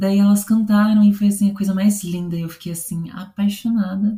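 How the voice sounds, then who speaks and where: A woman speaks in a somewhat breathy voice with a dark, mellow tone. Her pitch sits in the middle, with fairly even intonation. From São Paulo state interior, Brazil (São José dos Campos). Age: 20s. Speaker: opera singer (baritone). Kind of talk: interview. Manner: hesitant, many fillers.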